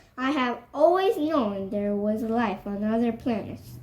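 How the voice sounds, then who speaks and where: Using a put-on character voice, a woman speaks fairly slowly at a fairly high pitch with lively intonation. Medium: read story.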